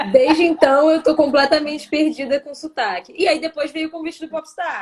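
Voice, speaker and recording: A woman speaks at a moderate pace in a high voice, her pitch moving in an ordinary way while her loudness swings widely. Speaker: singer and actress. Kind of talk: interview on a live stream.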